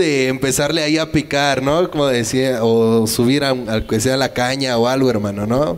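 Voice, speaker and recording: Speaking with a Mexican accent, a man keeps a moderate pace. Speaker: show co-host. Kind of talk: casual interview. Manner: animated. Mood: friendly, casual. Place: studio. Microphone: handheld.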